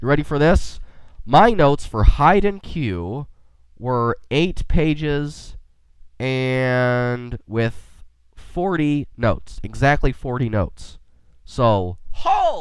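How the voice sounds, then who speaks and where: A man's very slow delivery with lively intonation and long, frequent pauses. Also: medium pitch for a man. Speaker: podcast host. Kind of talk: casual podcast talk. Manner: quirky, enthusiastic.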